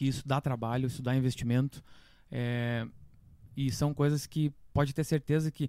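Delivered at a moderate pace, the man's voice sits fairly high in pitch and has a dark, mellow tone. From Santa Catarina highlands, Brazil (Correia Pinto). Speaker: musician. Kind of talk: casual chat.

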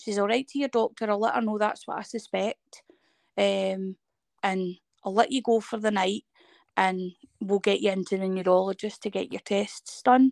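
A woman with a Scottish accent talks at a moderate pace and a fairly high pitch, with ordinary pitch variation, in a dry, close sound with no echo. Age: 30s. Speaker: person living with a chronic illness. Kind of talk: casual interview. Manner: sometimes stutters.

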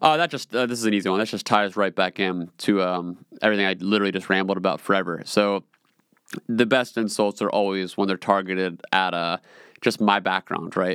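A man's fairly low voice with a dry, close sound and no echo. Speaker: podcast host. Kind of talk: solo monologue, casual personal talk. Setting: home studio in a small room. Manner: rambling, casual, talkative.

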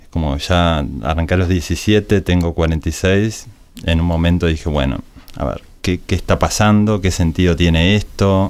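Speaking at a fairly slow pace, a man with a very deep, low pitch uses ordinary pitch variation. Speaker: advertising agency director. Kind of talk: casual interview. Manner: halting, with frequent repetitions.

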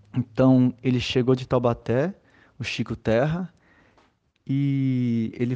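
A man's medium-pitched voice, dark and mellow in tone, fairly even in intonation, dry and close with no echo, over a quiet background. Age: 30s. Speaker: maracatu group leader and arts educator. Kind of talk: interview.

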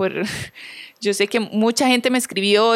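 With a normal speaking voice, a woman talks at a fairly quick pace, her pitch fairly high and her intonation fairly even. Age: 30s. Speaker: podcast host. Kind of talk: solo reflective monologue.

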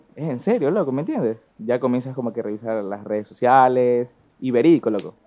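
A man with an ordinary speaking voice, medium pitch and ordinary pitch variation, at a fairly quick pace. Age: 20s. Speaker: business student and importer. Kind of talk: casual chat. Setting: in class during call.

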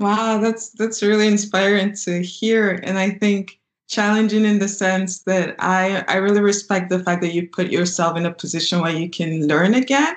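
At a moderate pace, a woman with an unremarkable speaking voice talks at medium pitch with ordinary pitch variation. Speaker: podcast host. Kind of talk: interview.

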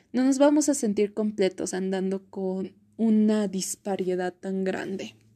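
Over a quiet background, a woman speaks very slowly at a medium pitch with a dark, mellow tone. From Bolivia. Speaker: podcaster, psychomotricity student. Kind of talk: casual monologue.

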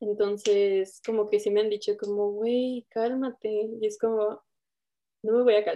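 A woman with a fairly high pitch and a dark, mellow tone speaks in a flat monotone at a fairly slow pace. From Toluca, central Mexico. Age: 20s. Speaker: documentary filmmaker and photographer. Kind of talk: round-table discussion.

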